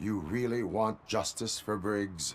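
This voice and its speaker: A raspy, put-on character voice at a fairly slow pace, with clear background noise. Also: man. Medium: video game. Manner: formal, flat, no contractions.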